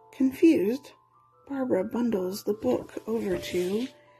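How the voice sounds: What you hear is a natural reading voice.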